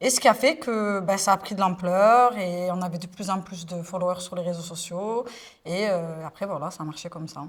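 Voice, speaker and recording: A woman's somewhat breathy voice rises and falls in big swings of loudness. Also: medium pitch for a woman, ordinary pitch variation, moderate pace. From Marseille, southern France. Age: 20s. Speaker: influencer. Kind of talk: interview testimony. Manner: hesitant, many fillers.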